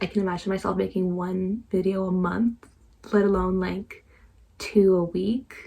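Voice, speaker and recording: The woman's medium-pitched voice has a dark, mellow tone and a somewhat breathy quality. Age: 20s. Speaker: book vlogger. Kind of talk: casual vlog monologue. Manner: halting, trips over words.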